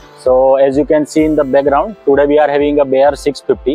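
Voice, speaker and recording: A man talks at a fairly quick pace over faint background music, the sound dry with no echo. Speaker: motorcycle reviewer. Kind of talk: casual vlog review. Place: street. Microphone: phone near.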